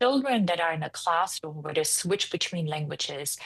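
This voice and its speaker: A woman with a German accent at a very fast pace. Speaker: founder and CEO of a preschool franchise. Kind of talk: interview.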